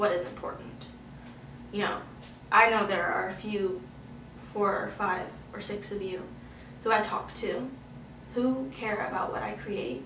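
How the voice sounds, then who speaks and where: In a room with audible echo and noticeable background noise, a woman of medium pitch speaks at a fairly slow pace. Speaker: youtuber and singer-songwriter. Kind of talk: casual vlog update. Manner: rambling, animated.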